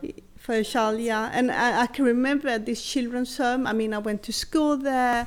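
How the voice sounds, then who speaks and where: A woman's high-pitched voice at a moderate pace, with fairly even intonation. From southern Sweden (Helsingborg), early childhood in rural southern Chile. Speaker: adoptee and co-founder of an adoptee network. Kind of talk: personal life story.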